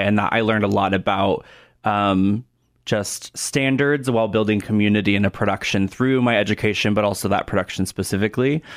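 With an American accent, a man with a plain, everyday voice talks at a fairly quick pace, his fairly low pitch held to fairly even intonation. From Oregon, US Pacific Northwest. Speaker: theatre director. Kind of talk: radio interview. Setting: studio.

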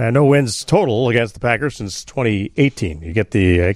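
A man with a plain, everyday voice at a moderate pace. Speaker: radio host. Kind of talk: post-game sports call-in radio talk. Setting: radio studio.

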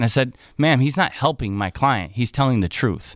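On a very clean recording with a silent background, a man of medium pitch speaks with ordinary pitch variation. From Illinois. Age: 30s. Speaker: private investigator. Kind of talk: radio interview. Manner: halting.

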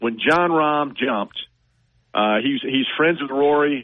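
A man with an ordinary speaking voice and fairly high pitch talks at a fairly slow pace. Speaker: golf reporter. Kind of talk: casual sports chat. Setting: phone call.

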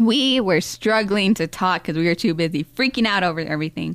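A woman with an ordinary speaking voice, fairly low in pitch with lively intonation, on a very clean recording with a silent background. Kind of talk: casual chat.

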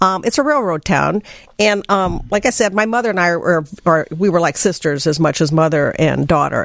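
With a Midwestern US accent, a woman talks at a fairly quick pace and medium pitch with lively intonation, over noticeable background noise. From southern Illinois.

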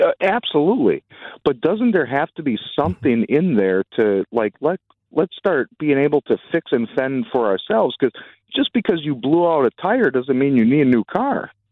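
A man with an American accent talks at a moderate pace in a fairly high pitch, his pitch swinging very widely. His loudness stays very even throughout. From Wisconsin (Fond du Lac). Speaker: caller. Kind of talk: call-in radio.

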